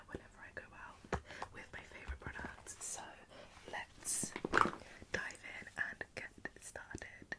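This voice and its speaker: A woman whispers at a fairly slow pace in a gentle, calm tone, with a British accent. Noticeable background noise is present. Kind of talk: ASMR makeup routine, whispered commentary to camera. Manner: soft, gentle, calm.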